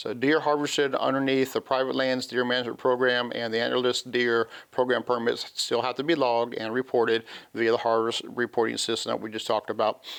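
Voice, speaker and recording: A man talks at a fairly quick pace with a medium pitch. His intonation is monotone and flat. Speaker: wildlife law enforcement officer. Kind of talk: TV talk show interview, explaining regulations. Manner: fast; halting, many fillers.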